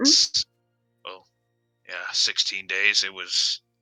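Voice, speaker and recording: The man talks very slowly. His put-on character voice is raspy. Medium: actual play. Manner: formal, halting.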